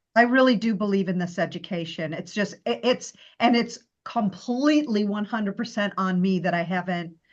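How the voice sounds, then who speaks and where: The speaker talks at a moderate pace with lively intonation and a somewhat breathy sound. The background is quiet. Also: woman, medium pitch for a woman. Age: 60s. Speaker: coaching group member. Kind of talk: casual chat. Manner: halting.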